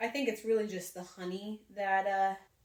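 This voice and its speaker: A woman with a medium pitch speaks at a moderate pace against noticeable background noise. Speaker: cooking channel host. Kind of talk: casual talk to camera.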